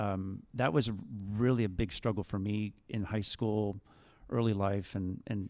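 A man speaks with a Canadian accent. His pitch sits fairly low. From Ontario, Canada (Niagara region). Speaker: high school math teacher. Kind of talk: school assembly testimony.

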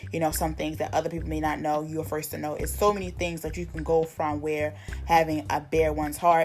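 Music plays behind a woman speaking in a warm tone. Her pace is fairly quick. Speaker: minister leading prayer. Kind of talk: fervent evening prayer, with repeated pleas to God. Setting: online video for a social media group. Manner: earnest, pleading, repetitive rhythm; casual, warm, encouraging.

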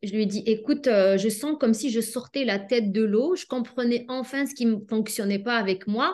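With a normal speaking voice, a woman talks at a moderate pace with a fairly high pitch and lively intonation in a quiet background. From Algeria. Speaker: pharmacist and life coach. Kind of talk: interview.

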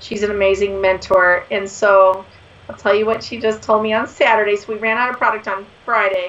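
With a fairly bright tone, a woman talks at a fairly quick pace and medium pitch, showing little pitch movement.

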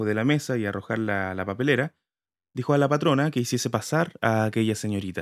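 Quiet surroundings and an unforced reading voice

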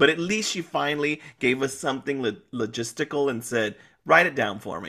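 A man's tone is animated, bright and sharp, with lively intonation. Vocal fry runs through his voice. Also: medium pitch for a man, moderate pace. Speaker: guest co-host, podcast. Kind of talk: casual chat recapping a soap opera. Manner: animated, laughs often.

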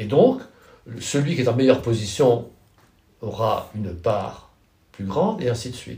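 A man with a medium pitch and a dark, mellow tone speaks at a fairly slow pace, somewhat breathy, with lively intonation. His loudness swings widely, and he leaves long, frequent pauses. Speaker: professor of political philosophy. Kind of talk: interview. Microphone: poor sound quality.

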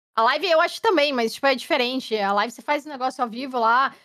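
Speaking with a southern Brazilian accent, a woman talks at a very fast pace. Her intonation is lively. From Curitiba, southern Brazil. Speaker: game streamer. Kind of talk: casual chat. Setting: live stream podcast.

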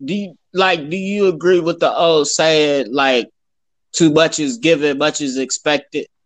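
A man with a fairly high pitch speaks at a fairly slow pace with ordinary pitch variation. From Ohio, Youngstown. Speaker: podcast guest, basketball fan. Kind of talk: casual chat.

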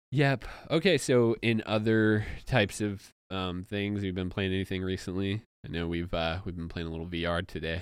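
On a very clean recording with a silent background, a man speaks at a moderate pace in a very deep, low pitch with ordinary pitch variation. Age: 30. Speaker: podcast host. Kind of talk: casual chat. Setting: studio.

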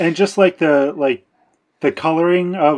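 A man with an ordinary speaking voice and an American accent talks at a moderate pace. His pitch varies in an ordinary way, over a quiet background. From United States. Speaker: podcast co-host. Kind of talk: casual chat.

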